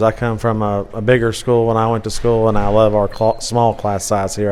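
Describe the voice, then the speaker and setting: Over noticeable background noise, a man with an American accent talks at a fairly quick pace, his fairly low pitch delivered in a monotone, flat intonation. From Kentucky, Mason County. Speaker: teacher. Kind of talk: casual interview.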